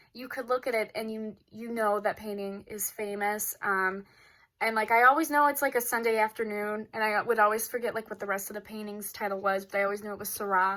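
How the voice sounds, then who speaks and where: A woman with a Chicago accent talks at a fairly quick pace in a fairly high, bright, sharp voice, her intonation fairly even and her loudness swinging widely, in a very clean recording with a silent background. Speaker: student vlogger. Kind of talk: casual vlog talk. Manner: hesitant, many fillers.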